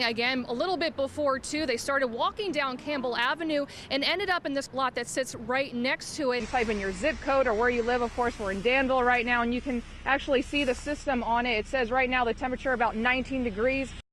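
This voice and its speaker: Delivered at a very fast pace with hardly any pauses, the speech has fairly even intonation over noticeable background noise. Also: woman. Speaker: TV news reporter and anchor. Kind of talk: TV news report.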